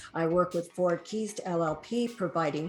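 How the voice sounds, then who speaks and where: Over background music, a woman speaks at a fairly low pitch with fairly even intonation. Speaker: human resources consultant and podcast host. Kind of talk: podcast interview host.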